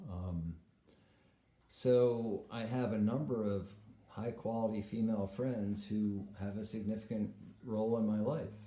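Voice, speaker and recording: A man speaks at a fairly slow pace with a fairly low pitch, a dark, mellow tone, fairly even intonation and audible room echo. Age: 60s. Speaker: vlogger. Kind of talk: casual monologue vlog. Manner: hesitant, many fillers.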